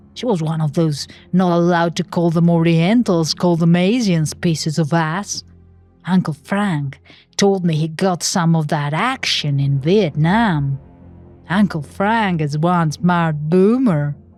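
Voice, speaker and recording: Over music in the background, a woman talks at a fairly slow pace, her fairly low pitch showing ordinary variation. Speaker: narrator. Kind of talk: horror story narration.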